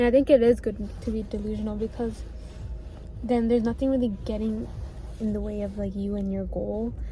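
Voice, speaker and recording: There is audible room echo and noticeable background noise as a woman talks. She speaks at a fairly quick pace, with long, frequent pauses. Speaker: vlogger. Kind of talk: casual vlog monologue. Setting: outdoors at the beach. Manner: stuttering, repeats herself; fast, rambling.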